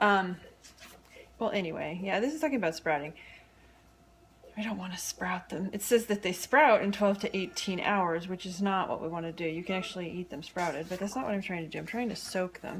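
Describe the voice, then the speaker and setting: With ordinary pitch variation and a medium pitch, a woman gets through her words at a fairly quick pace. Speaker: cooking video host and cookbook author. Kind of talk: casual home cooking tutorial. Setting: home kitchen, filming herself. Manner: chatty, halting with many ums.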